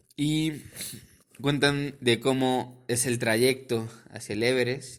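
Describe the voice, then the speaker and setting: Medium pitch and fairly even intonation in a man's voice. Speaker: podcast host. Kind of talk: casual podcast talk.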